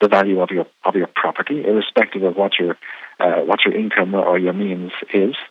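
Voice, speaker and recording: In an Irish accent, a man speaks at a fairly quick pace. His pitch sits fairly low. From Ireland. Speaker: radio program director. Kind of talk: interview. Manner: halting, many fillers.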